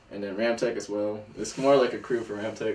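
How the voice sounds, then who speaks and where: A man with an American accent and a fairly low pitch, plus audible room echo. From northern Virginia, US. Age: 20s. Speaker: skateboarder. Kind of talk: casual chat.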